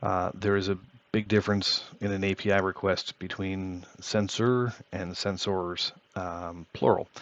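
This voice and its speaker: A man's fairly low voice in a monotone, flat intonation at a fairly slow pace. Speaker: tech YouTuber. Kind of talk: tutorial. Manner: hesitant, many fillers.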